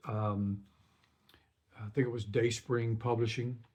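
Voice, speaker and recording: A man's voice sits at a medium pitch, with a dark, mellow tone and a somewhat breathy quality. He speaks at a moderate pace in a monotone, flat intonation. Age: 60s. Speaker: singer-songwriter. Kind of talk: casual talk to camera. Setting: home recording studio. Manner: hesitant, many fillers.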